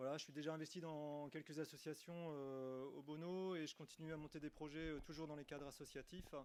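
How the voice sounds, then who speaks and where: Speaking fairly quickly with hardly any pauses, a man keeps a monotone, flat intonation. His pitch is fairly high for a man. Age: 40s. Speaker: municipal election candidate. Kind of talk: self-introduction at a meeting. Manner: hesitant, many fillers.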